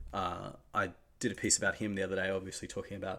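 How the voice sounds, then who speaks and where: A man with an Australian accent speaks very fast. His pitch is fairly low and his intonation flat and monotone. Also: very clean recording, silent background. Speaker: basketball podcast host. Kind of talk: casual solo talk. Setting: home recording setup.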